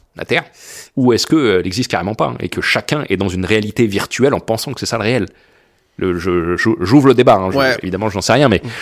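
Speaking at a very fast pace, a man with a fairly low pitch and ordinary pitch variation is heard in a very clean recording with a silent background. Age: 30s. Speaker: entrepreneur and public speaker. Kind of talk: casual interview.

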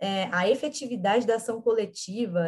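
A woman's fairly high pitch, an ordinary speaking voice, with ordinary pitch variation. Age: 20s. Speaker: actress and political activist. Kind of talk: interview.

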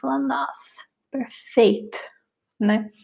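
A woman with a Brazilian accent speaks at a very slow pace in a fairly high pitch with a dark, mellow tone. The recording is very clean, with a silent background. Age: 20s. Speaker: podcast host. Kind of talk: casual monologue.

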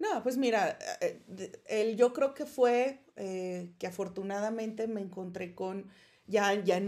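The voice has a dark, mellow tone and moves at a very slow pace. Its pitch varies in an ordinary way. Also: woman. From Mexico, Chihuahua. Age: 30s. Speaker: podcast co-host, doctor. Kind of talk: casual chat. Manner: halting, many repetitions.

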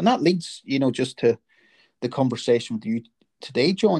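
A man with a Northern Irish accent, very fast and somewhat breathy, with very wide pitch swings, in a dry, close sound with no echo over a quiet background. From Northern Ireland. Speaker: podcast host. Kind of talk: casual interview.

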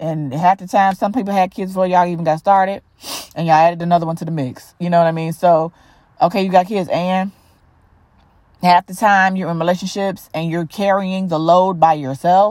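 On a very clean recording with a silent background, a woman with a fairly low pitch speaks at a fairly quick pace in an animated tone. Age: 40s. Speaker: podcast host. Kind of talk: casual monologue.

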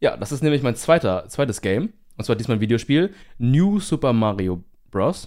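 Speaking at a moderate pace, a man with a medium pitch makes very wide pitch swings, recorded very cleanly against a silent background. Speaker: podcast co-host, university student. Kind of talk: casual chat.

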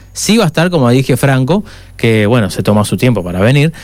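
A man with a Uruguayan accent talks with lively intonation. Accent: Uruguayan Spanish (rioplatense). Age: 60s. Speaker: radio host. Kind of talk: casual chat. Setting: studio.

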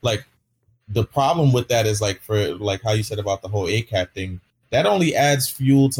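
A man speaks at a moderate pace in a fairly low, somewhat breathy voice with ordinary pitch variation, recorded with a dry, close sound and no echo. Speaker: streamer. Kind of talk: casual chat. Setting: video call. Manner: halting.

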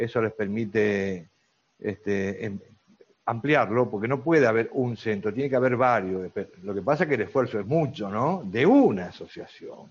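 With a Rioplatense accent, a man of medium pitch talks at a moderate pace with ordinary pitch variation. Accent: Argentine Spanish (rioplatense, voseo). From Argentina. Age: 60s. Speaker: grandparent advocate for cystic fibrosis patients. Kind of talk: interview. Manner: halting, many fillers (este, eh).

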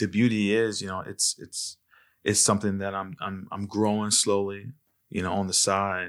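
A man talks with a plain, everyday voice at a moderate pace. His pitch is fairly low and his intonation fairly even. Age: 30s. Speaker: vintage clothing store owner. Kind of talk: casual interview chat.

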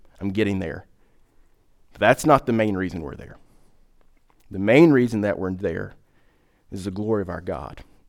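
The speech moves at a moderate pace with big swings in loudness and long, frequent pauses. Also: man, fairly low pitch for a man. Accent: Southern US. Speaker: pastor. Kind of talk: sermon. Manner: hesitant, many fillers.

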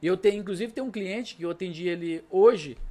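A man talks at a very fast pace in a high pitch, his intonation lively. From Brazil, Minas Gerais (Triângulo Mineiro). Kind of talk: casual chat.

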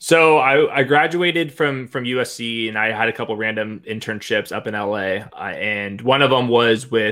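Talking at a moderate pace with hardly any pauses, a man has a medium pitch and ordinary pitch variation. He speaks in a Southern Californian accent. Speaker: fantasy football analyst.

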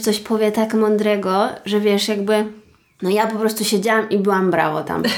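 A woman with a fairly high voice talks in a flat monotone at a middling speed. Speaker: true crime podcast co-host. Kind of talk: casual chat and crime storytelling.

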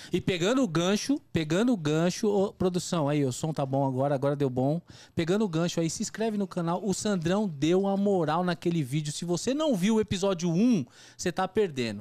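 A man with a high pitch and a dark, mellow tone speaks at a moderate pace with lively intonation. The recording is very clean with a silent background. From Brazil, São Paulo east zone (Itaquera). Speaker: podcast host. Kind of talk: casual chat.

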